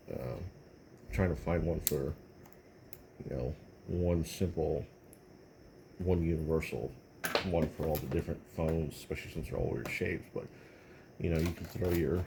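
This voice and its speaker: A man's very deep, low voice in an American accent, with ordinary pitch variation and long, frequent pauses. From Texas. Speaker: tech video creator. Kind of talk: casual tech review talk. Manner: halting, many fillers.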